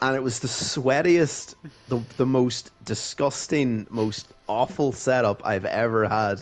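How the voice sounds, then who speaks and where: Over noticeable background noise, a man with a Donegal accent speaks fairly slowly at medium pitch with ordinary pitch variation. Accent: Donegal Irish. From Ireland, County Donegal. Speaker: sim racing driver. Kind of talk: casual chat. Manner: animated.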